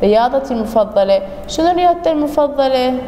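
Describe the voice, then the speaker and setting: A woman speaks with high pitch and lively intonation. Noticeable background noise and audible room echo surround her. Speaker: English teacher. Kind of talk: recorded lesson for pupils. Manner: repetitive, slow.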